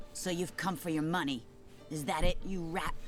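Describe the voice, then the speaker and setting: Over clear background noise, a woman does a put-on character voice at a moderate pace in a fairly low pitch. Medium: video game. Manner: haughty, contemptuous.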